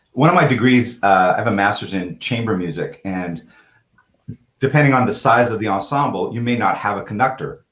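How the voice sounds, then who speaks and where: Speaking at a moderate pace, a man with a medium pitch sounds somewhat breathy and uses lively intonation. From Canada. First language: French. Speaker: real estate executive. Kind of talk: casual chat.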